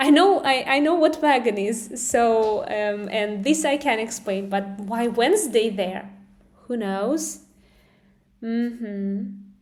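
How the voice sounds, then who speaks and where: A woman with a fairly high pitch and ordinary pitch variation speaks at a fairly slow pace, with audible room echo. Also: long, frequent pauses. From Russia. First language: Russian. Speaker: English teacher. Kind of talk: live stream lesson. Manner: halting.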